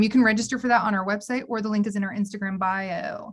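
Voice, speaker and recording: With ordinary pitch variation, the voice comes across somewhat breathy. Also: woman. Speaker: university housing staff presenter. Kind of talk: online orientation presentation. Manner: fast; animated.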